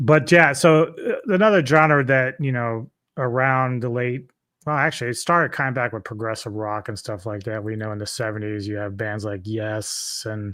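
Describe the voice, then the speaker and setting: A man speaks at a moderate pace with a bright, sharp tone. The recording is very clean with a silent background. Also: medium pitch for a man, ordinary pitch variation. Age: 50s. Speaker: metal music expert, DJ. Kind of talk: casual chat. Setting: live stream.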